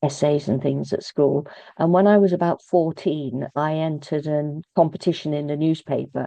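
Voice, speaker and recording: Speaking with a British accent at a moderate pace, a woman with a very deep, low pitch keeps her intonation fairly even. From England, Birmingham. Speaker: author and poet. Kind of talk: interview. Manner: halting, many fillers and repeats.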